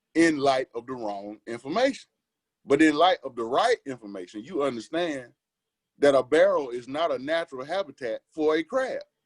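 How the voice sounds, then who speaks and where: With an American accent and lively intonation, a man talks at a moderate pace in a dry, close sound with no echo. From US South, Jackson, Mississippi. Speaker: interview guest. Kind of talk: casual interview conversation.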